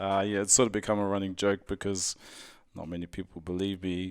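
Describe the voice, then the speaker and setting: On a very clean recording with a silent background, a man with a New Zealand accent speaks at a fairly quick pace and a fairly low pitch, his intonation monotone and flat. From New Zealand, Auckland. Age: 30s. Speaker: strongman athlete. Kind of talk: casual interview.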